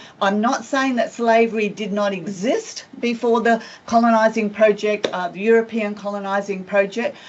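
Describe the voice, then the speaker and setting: A woman speaks at a moderate pace with hardly any pauses, her fairly high voice holding a fairly even intonation over noticeable background noise. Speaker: professor of education. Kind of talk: lecture.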